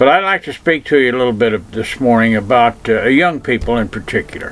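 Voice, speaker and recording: A man speaks at a very fast clip with medium pitch and lively intonation over noticeable background noise. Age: old. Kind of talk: advice talk to camera.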